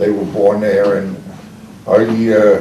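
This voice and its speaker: Amid audible room echo and noticeable background noise, a man speaks at a fairly slow pace. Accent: Long Island. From Long Island, New York. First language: Czech. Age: 80s+. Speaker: retired commercial fisherman. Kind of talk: oral history interview. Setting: library group session. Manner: halting.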